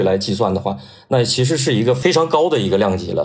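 The voice is somewhat breathy with lively intonation and a fairly quick pace. Audible room echo fills the recording. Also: man. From Northeast China. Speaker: sports journalist. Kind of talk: casual chat.

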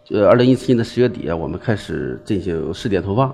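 The intonation is lively, with music in the background. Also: man. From Shandong, Liaocheng. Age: 40s. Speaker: entrepreneur. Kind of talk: business pitch interview.

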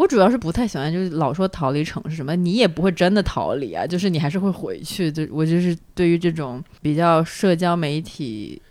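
A normal speaking voice from a woman, fairly low in pitch, fairly quick, with ordinary pitch variation. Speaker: podcast host. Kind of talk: casual chat.

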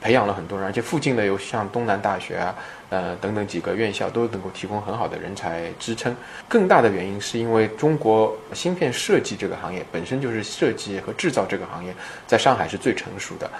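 The speech moves at a fairly quick pace with lively intonation. There is noticeable background noise behind it. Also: man, fairly low pitch for a man. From Shanghai, China. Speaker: chip design entrepreneur. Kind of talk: interview. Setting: startup incubator in Shanghai.

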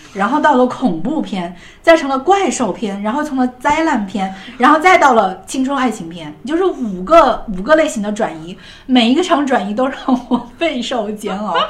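There's a woman speaking in a high voice with very wide pitch swings. Noticeable background noise and audible room echo fill the recording. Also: moderate pace. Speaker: podcast host. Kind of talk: casual chat about TV shows.

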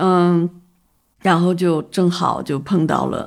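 A woman speaks at a fairly low pitch with vocal fry. The recording is very clean, with a silent background. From northern China, Taiyuan, Shanxi. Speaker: photography festival founder and art director. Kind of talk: casual interview. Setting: in person over tea. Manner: halting, many filler sounds.

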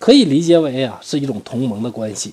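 This man speaks at a moderate pace. His tone is dark and mellow. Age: middle-aged. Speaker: history storyteller podcaster. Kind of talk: storytelling narration. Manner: casual, many filler particles.

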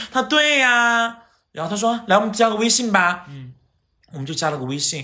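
A man with a high pitch speaks in a raised, projected voice at a moderate pace, his tone bright, sharp and animated. His pitch swings very widely and his loudness shifts in big jumps. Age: 30s. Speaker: TV host and actor. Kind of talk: casual chat. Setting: at home.

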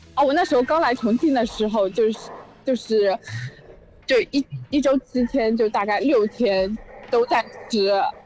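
A woman with high pitch and very even loudness, moderate pace, long and frequent pauses, and noticeable background noise. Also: ordinary pitch variation. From Zhejiang, Zhoushan. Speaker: caller. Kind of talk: casual chat.

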